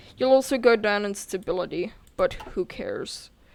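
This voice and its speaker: A woman's normal speaking voice at a fairly slow pace, ordinary pitch variation, very clean recording, silent background. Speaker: gaming youtuber. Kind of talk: game tutorial. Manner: casual.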